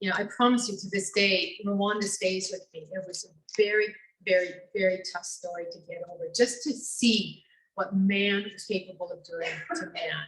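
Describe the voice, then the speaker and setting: A somewhat breathy woman at a medium pitch and moderate pace. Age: 60s. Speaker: radio foreign correspondent. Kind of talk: personal storytelling talk.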